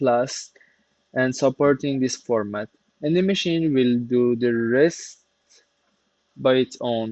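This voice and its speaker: This man's medium-pitched voice carries a non-native accent. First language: not English. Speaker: CNC workshop maker, YouTuber. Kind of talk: tutorial. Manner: halting, with fillers.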